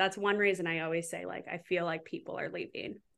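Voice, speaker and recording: With an American accent, this voice has a bright, sharp tone and moves at a fairly quick pace over a quiet background. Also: woman. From US Midwest, southwest Wisconsin. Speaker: paramedic. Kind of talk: casual interview. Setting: video call.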